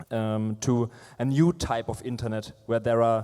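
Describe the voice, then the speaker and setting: With a Franconian accent, a man speaks at a medium pitch and a fairly slow pace in a monotone, flat intonation. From Franconia, Germany. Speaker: fintech product manager, panelist. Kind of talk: panel discussion. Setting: stage with audience. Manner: halting, many fillers.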